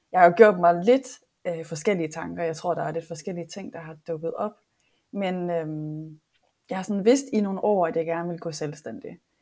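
A woman speaks at a moderate pace with a dark, mellow tone. Her pitch sits fairly low and varies in an ordinary way. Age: 30s. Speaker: online coach. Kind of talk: casual chat. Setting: online video call.

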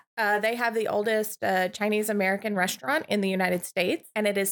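A woman's plain, everyday voice at medium pitch, at a fairly quick pace, with fairly even intonation. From Montana. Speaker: guest co-host. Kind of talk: casual chat.

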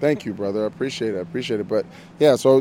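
This man has a fairly low-pitched voice with a dark, mellow tone. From Miami. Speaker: actor. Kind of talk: interview.

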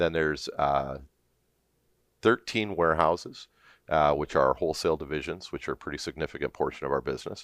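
Speaking with a Canadian accent and vocal fry, the voice moves at a fairly quick pace between long, frequent pauses. The recording is very clean, with a silent background. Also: man, very deep, low pitch for a man, ordinary pitch variation, dry, close sound with no echo. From Southern Ontario, Canada. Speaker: business executive. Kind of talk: interview. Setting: studio.

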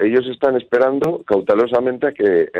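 A man with a Spanish accent at a fairly quick pace. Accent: Peninsular Spanish. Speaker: football correspondent. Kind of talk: phone interview. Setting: phone call.

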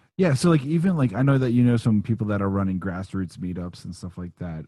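A man with a dark, mellow tone at a very fast pace, against a quiet background. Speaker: podcast host. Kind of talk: casual interview chat.

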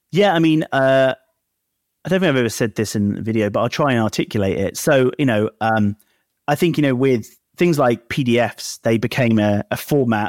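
A man speaks at a fairly quick pace in an ordinary speaking voice, with ordinary pitch variation and a dry, close sound with no echo on a very clean recording with a silent background. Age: 30s. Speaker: startup founder. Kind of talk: interview.

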